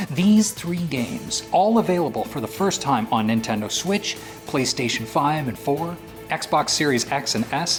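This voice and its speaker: A man talks at a fairly slow pace, his pitch swinging very widely. Music plays in the background. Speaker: voice actor. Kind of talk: promotional video game narration.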